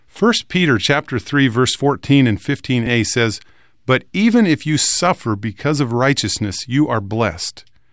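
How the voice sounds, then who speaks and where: A man with an unremarkable speaking voice, lively intonation, moderate pace and very even loudness, on a very clean recording with a silent background. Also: medium pitch for a man. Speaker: radio host. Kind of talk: religious discussion.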